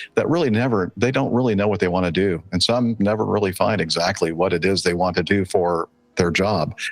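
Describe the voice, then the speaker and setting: A man with an American accent, very deep and low in pitch, with ordinary pitch variation. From Southern California, then Mobile, Alabama from age 13. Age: 60s. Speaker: airline pilot. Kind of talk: interview conversation. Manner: halting, many fillers.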